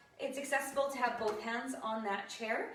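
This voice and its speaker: Surrounded by audible room echo and noticeable background noise, a woman speaks at a high pitch. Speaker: fitness instructor. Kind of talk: live online exercise class instruction. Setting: livestream video.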